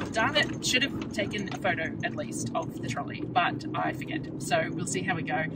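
A woman at a moderate pace with hardly any pauses, dry with no echo, over loud background noise. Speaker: vlogger. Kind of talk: casual vlog chat. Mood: relaxed, chatty. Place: car. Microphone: phone near.

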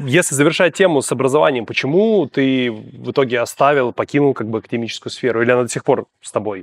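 A man at a very fast pace with hardly any pauses, a medium pitch, lively intonation, big swings in loudness and a dry sound with no echo. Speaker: podcast host. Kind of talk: interview. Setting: studio. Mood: relaxed, smiling. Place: studio.

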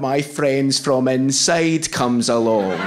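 A man is speaking. He has a Scottish accent. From Scotland. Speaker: stand-up comedian. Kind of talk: stand-up comedy set. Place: stage. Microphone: handheld.

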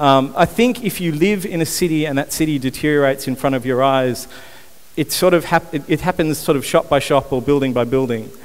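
This man talks at a fairly quick pace in an Australian accent. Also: fairly high pitch for a man, ordinary pitch variation. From Australia, Newcastle NSW. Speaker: urban renewal founder, conference speaker. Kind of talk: conference talk. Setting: stage with audience, microphone. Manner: hesitant with frequent fillers. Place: stage. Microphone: headset.

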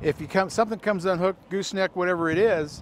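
A man's high voice at a very fast pace with ordinary pitch variation, dry with no echo, over noticeable background noise. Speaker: presenter. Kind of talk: tutorial anecdote. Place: street.

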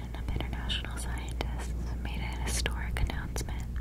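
A soft-spoken woman whispering at a moderate pace over loud background noise. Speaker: ASMR creator. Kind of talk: soft-spoken educational ASMR. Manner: soft close-mic ASMR whisper. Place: home room. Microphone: studio mic.

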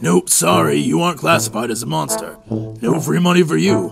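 A man does a put-on character voice at a medium pitch and moderate pace. His pitch swings very widely, with clear music in the background. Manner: officious, patronizing.

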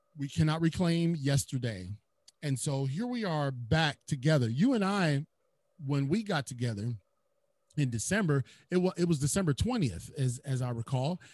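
Somewhat breathy, a man speaks at a fairly high pitch with an animated tone and lively intonation. The sound is dry with no echo. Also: moderate pace. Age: 40s. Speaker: podcast host. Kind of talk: interview. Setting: studio. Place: home room. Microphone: studio mic.

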